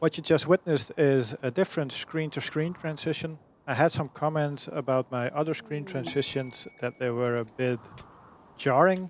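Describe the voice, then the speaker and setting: Over noticeable background noise, a man with a non-native accent speaks at a moderate pace and a fairly high pitch, with ordinary pitch variation. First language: not English. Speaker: gaming YouTuber. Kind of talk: let's play commentary.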